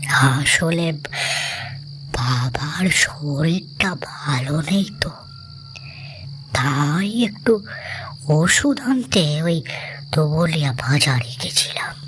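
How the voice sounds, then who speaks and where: A put-on character voice from a man, fairly high in pitch, at a very slow pace. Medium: read story. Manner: friendly, casual, coaxing.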